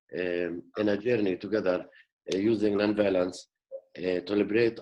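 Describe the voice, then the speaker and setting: At a moderate pace, a man with a Middle Eastern accent speaks in a fairly low pitch with fairly even intonation. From West Bank, Jerusalem area. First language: Arabic. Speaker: peace activist. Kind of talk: panel discussion. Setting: video call. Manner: halting, many fillers.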